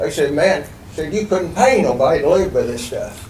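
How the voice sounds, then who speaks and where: Background noise is noticeable, and the room echo is audible. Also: man. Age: 70s. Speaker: resident speaking at public hearing. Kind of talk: public comment at city meeting. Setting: public meeting room with microphones. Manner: halting, repetitive; animated.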